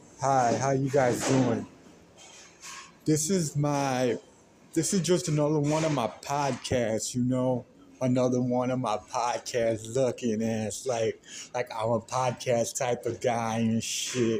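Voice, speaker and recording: A man with an American accent speaks at a very slow pace, with medium pitch, ordinary pitch variation and a dark, mellow tone. His loudness stays very even on a very clean recording with a silent background. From US, Mexican American. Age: 30s. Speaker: podcaster. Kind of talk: personal monologue. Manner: rambling, halting with restarts.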